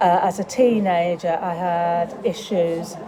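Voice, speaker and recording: A woman's fairly even intonation against crowd noise in the background. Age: 60s. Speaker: charity trustee. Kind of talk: interview. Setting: leisure centre cafe.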